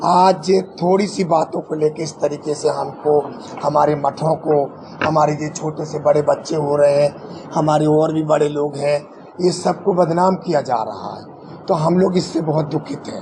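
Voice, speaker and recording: A man talks fairly high in pitch with fairly even intonation while noticeable background noise carries on. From Jabalpur, Madhya Pradesh, India. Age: 70s. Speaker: transgender community leader, former councillor. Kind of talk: press conference statement. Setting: press conference.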